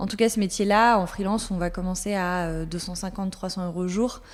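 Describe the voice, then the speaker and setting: This woman's voice has a medium pitch. Her intonation stays fairly even. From France, Alsace (Colmar). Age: 30s. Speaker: content manager. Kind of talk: interview. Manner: many hesitations (euh).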